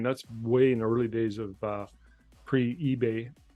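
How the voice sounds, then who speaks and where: With music in the background, a man speaks at a moderate pace in a medium pitch, his intonation fairly even. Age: 60s. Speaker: portrait photographer. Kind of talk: casual chat.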